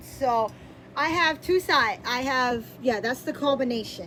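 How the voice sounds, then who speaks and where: Loud and lively in intonation, a woman with a high pitch talks at a moderate pace. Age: 30s. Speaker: YouTuber. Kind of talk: casual chat. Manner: halting.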